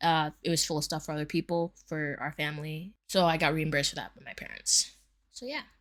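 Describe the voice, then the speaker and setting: A woman's very deep, low voice at a fairly quick pace, with fairly even intonation and big swings in loudness, on a very clean recording with a silent background. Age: 20s. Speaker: personal finance vlogger. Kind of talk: casual budget vlog. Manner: fast; casual with many fillers.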